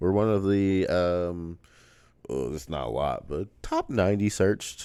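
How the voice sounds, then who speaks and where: A man speaks with a very deep, low pitch and a dark, mellow tone. He talks at a fairly slow pace with ordinary pitch variation. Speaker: podcast host. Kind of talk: casual chat.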